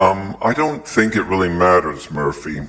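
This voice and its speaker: Putting on a character voice, a man talks at a moderate pace with a very deep, low pitch and very wide pitch swings. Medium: audio drama. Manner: tense, skeptical.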